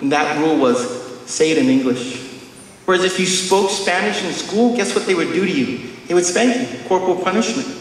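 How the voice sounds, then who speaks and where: A man's high-pitched voice with lively intonation, audible room echo and light background noise. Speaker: conference speaker. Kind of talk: conference talk with stand-up style jokes. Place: hall. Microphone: camera far.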